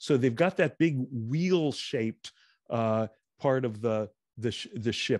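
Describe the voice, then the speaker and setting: Against a quiet background, a man at medium pitch speaks at a fairly slow pace with ordinary pitch variation. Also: dry sound with no echo. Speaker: movie talk show co-host. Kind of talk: casual chat about films. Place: home room. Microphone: studio mic.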